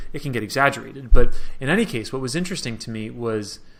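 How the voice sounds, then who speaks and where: Audible room echo surrounds a man with an American accent whose tone is bright and sharp. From New York. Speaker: Middle East analyst. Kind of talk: interview. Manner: casual, many fillers.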